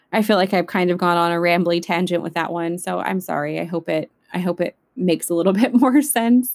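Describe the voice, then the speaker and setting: A woman with an American accent talks at a moderate pace and a fairly low pitch. Her pitch varies in an ordinary way on a very clean recording with a silent background. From California, Central Valley. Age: 20s. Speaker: podcast host. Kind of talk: casual monologue. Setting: home recording in bedroom closet.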